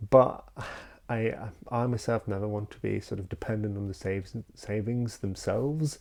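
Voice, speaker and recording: With a Polish accent, a man speaks fairly slowly in a fairly low pitch, his tone dark and mellow and his intonation fairly even. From Poland. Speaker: YouTuber. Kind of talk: unscripted talking-head vlog. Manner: halting, many fillers.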